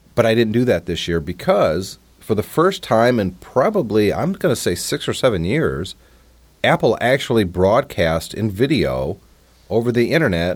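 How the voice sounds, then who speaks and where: With an American accent, a man talks in a fairly low pitch marked by vocal fry. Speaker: podcast host. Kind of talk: casual chat.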